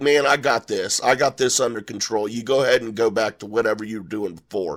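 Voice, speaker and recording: In a put-on character voice, a man talks in a raspy, medium pitch at a very fast pace, his loudness swinging widely. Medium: solo performance. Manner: folksy.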